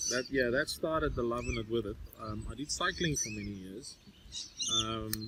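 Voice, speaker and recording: Amid noticeable background noise, a man with a South African accent speaks at a moderate pace with long, frequent pauses. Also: medium pitch for a man, ordinary pitch variation. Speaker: motorbiking podcast host. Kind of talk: casual chat. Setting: outdoors.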